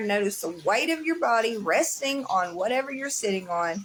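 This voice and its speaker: Noticeable background noise runs under a woman who speaks fairly slowly with very wide pitch swings. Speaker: livestreamer sharing mental health resources. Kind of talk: casual live chat; guided breathing exercise read aloud. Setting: livestream.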